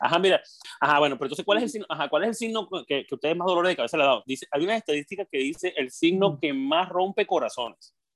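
The speech runs at a very fast pace with lively intonation and an animated tone. The sound is dry and close, with no echo. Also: man, high pitch for a man. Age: 40s. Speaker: podcast co-host. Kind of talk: casual chat.

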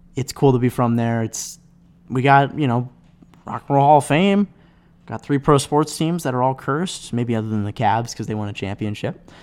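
A man with a slight Midwestern US accent talks with ordinary pitch variation on a very clean recording with a silent background. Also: medium pitch for a man, moderate pace. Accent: light Midwestern American. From US Midwest (Cleveland). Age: 20s. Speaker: podcast host, college student. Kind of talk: casual solo monologue. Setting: home desk microphone. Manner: rambling, filler-heavy.

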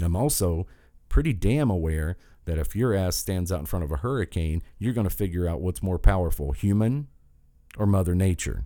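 With an American accent, a man speaks at a fairly quick pace in a very deep, low pitch, his dark, mellow tone carrying lively intonation on a very clean recording with a silent background. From southern West Virginia. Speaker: political podcast host. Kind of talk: political rant monologue. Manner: animated.

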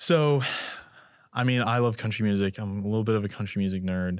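On a very clean recording with a silent background, a man with an ordinary speaking voice talks fairly quickly at a fairly low pitch, his intonation fairly even. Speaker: podcast host. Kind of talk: casual interview.

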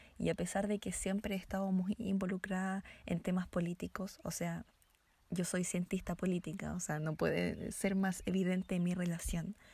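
A woman's medium-pitched, somewhat breathy voice with a dark, mellow tone, monotone, flat intonation, very even loudness, and a moderate pace. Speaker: podcast co-host, political scientist. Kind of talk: casual chat.

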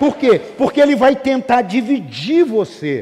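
A man's dark, mellow voice with lively intonation at a fairly slow pace, in a very clean recording with a silent background. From Brazil, Rio de Janeiro state interior. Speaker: pastor. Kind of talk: sermon. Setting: church with congregation. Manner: animated.

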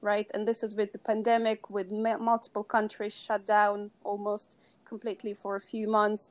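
The speaker talks at a moderate pace in a Russian accent. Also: woman. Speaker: sustainability consultant. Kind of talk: interview.

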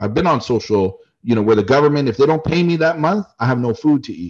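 In a Canadian accent, the speaker races along at a very fast pace. The pitch swings very widely. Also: man. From Canada. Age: 40s. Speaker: travel YouTuber and business owner. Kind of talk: casual interview chat.

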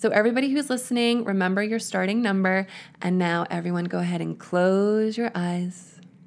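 A woman talks in a plain, everyday voice at medium pitch, with ordinary pitch variation. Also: very clean recording, silent background. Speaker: hypnotherapist and author. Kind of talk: guided hypnosis, relaxation script; interview. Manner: slow, soothing, calm, gentle, hypnotic pacing.

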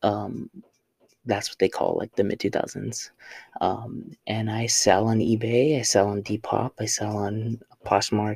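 A man speaks very slowly at a fairly low pitch. His voice is somewhat breathy, with monotone, flat intonation. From Southern California. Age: 20s. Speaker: podcast host and vintage reseller. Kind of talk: casual monologue. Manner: halting, many fillers.

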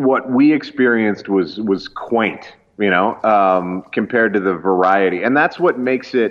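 With a Canadian accent and an unremarkable speaking voice, a man speaks at a moderate pace with a fairly low pitch, ordinary pitch variation, very even loudness, and hardly any pauses. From rural Canada. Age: 30s. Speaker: pastor and comedian. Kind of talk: casual chat.

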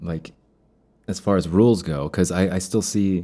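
This man's pitch is very deep and low, his tone dark and mellow. He keeps a moderate pace. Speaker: podcast host, day trader. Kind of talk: solo monologue about trading. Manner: halting, many fillers; different cadence in loss episodes.

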